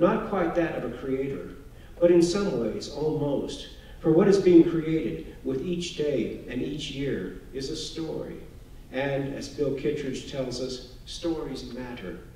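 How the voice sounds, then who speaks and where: A man with an American accent speaks at a fairly slow pace in a fairly high pitch, his lively intonation and big swings in loudness carried over light background noise and audible room echo. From Texas, Houston suburbs; Texas. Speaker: author; author giving a lecture. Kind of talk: lecture. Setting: stage with audience. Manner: formal. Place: hall.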